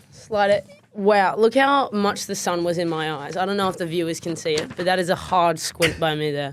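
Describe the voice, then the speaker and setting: With an American accent, a woman talks at a moderate pace in a fairly low pitch, with ordinary pitch variation and hardly any pauses. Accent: Australian with slight American twang. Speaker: podcast co-host, former basketballer. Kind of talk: casual podcast chat.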